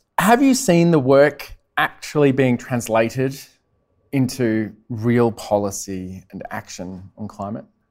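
Fairly slow speech in an Australian accent, with ordinary pitch variation and big swings in loudness. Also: man, medium pitch for a man. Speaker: meteorologist and TV weather presenter. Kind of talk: live interview. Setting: stage with audience. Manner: enthusiastic.

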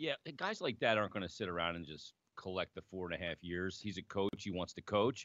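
A man with a plain, everyday voice and an American accent speaks at a fairly low pitch, with a dry, close sound with no echo and a quiet background. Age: 40s. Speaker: sports radio co-host, hockey broadcaster. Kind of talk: casual sports talk show.

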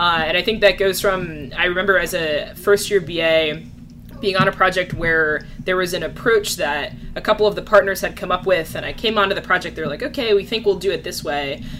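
A woman at medium pitch, ordinary pitch variation, fairly quick pace, and noticeable background noise. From New Jersey. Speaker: business analyst. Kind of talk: casual interview.

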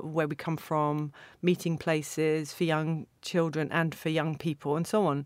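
With a southern English accent, a woman speaks at a fairly low pitch and a moderate pace. The recording is very clean, with a silent background. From England, Stevenage (Hertfordshire). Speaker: literary translator. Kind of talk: interview. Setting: studio. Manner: hesitant, with repeated words.

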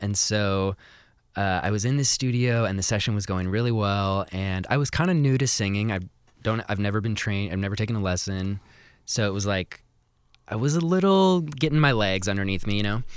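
An unremarkable speaking voice with an American accent, at a fairly quick pace with ordinary pitch variation, in a very clean recording with a silent background. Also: man, fairly low pitch for a man. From Seattle, US Pacific Northwest. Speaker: musician. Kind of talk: interview.

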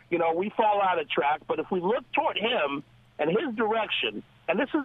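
Through noticeable background noise, a man with high pitch talks at a moderate pace. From Los Angeles. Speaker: caller. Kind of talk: call-in comment. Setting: phone call.

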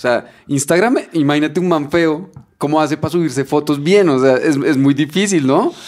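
Animated in tone, a man speaks at a fairly high pitch and moderate pace with ordinary pitch variation. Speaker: podcast co-host. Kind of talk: casual chat.

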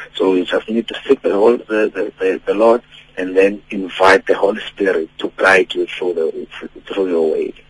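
A man talks in a South African accent at a moderate pace. The sound is dry and close, with no echo. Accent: South African English, Xhosa-accented. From Eastern Cape, South Africa. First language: Xhosa. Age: 30s. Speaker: gospel singer. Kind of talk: radio interview. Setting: phone call.

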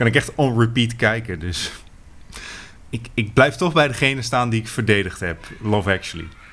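A man speaks at a medium pitch and a moderate pace with ordinary pitch variation. He leaves long, frequent pauses. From Netherlands, fishing village. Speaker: podcast co-host, film reviewer. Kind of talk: casual chat.

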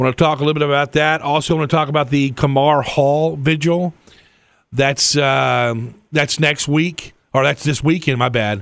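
A man with a normal speaking voice and a fairly high pitch talks at a moderate pace with fairly even intonation and very even loudness, in a very clean recording with a silent background. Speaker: radio host. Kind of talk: casual radio talk show. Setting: studio.

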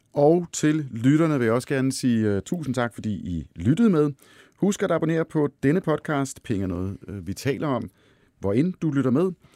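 A man speaks at a moderate pace with a medium pitch and very wide pitch swings, his tone dark and mellow, in a very clean, dry, close recording with a silent background and no echo. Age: 40s. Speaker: podcast host, finance editor. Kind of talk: interview chat. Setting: studio.

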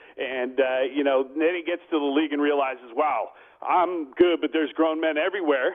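A man with an American accent, an unremarkable speaking voice, fairly high pitch and a fairly quick pace. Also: fairly even intonation. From US West Coast, Bay Area. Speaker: sports radio host. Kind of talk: casual interview.

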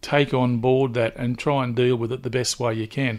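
In an Australian accent, a man talks at a medium pitch. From Newcastle, New South Wales, Australia. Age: 60s. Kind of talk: interview.

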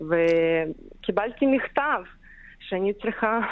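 This is a woman. She speaks with a Ukrainian accent. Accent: Ukrainian accent in Hebrew. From Ukraine. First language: Ukrainian or Russian (speaking Hebrew). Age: 30s. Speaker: caregiver for Holocaust survivors. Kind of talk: radio interview. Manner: halting non-native Hebrew.

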